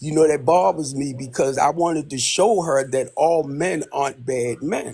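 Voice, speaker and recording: In an American accent, a man speaks at a moderate pace and fairly high pitch, his tone dark and mellow, somewhat breathy, with ordinary pitch variation. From US, Baltimore, Maryland. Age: 60s. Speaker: caller. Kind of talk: casual chat.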